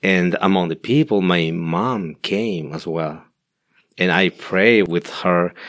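A man with a Spanish accent speaks very slowly in a very deep, low voice with ordinary pitch variation, on a very clean recording with a silent background. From Guatemala. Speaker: pastor. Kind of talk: interview testimony. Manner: halting.

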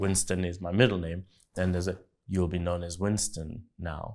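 Speaking at a moderate pace, a man has a very deep, low pitch and fairly even intonation. The recording is very clean, with a silent background. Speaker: podcast co-host. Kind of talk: reflective discussion with faith talk. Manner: thoughtful, hesitant with fillers.

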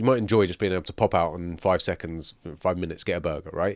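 A man at a very fast pace with ordinary pitch variation, on a very clean recording with a silent background. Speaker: gaming podcast co-host. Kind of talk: casual chat.

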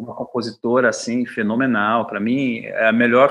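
This is a man with an unremarkable speaking voice at medium pitch. He speaks at a fairly slow pace. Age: 50s. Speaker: bassist and composer. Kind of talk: radio interview.

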